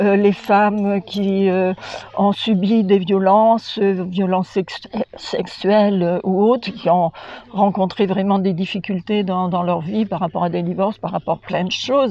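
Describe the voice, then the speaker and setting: A fairly slow voice delivers its words in a monotone, flat intonation over noticeable background noise. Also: woman, medium pitch for a woman. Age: 80s+. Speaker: holistic care practitioner, course participant. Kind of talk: testimony interview. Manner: halting, many hesitations.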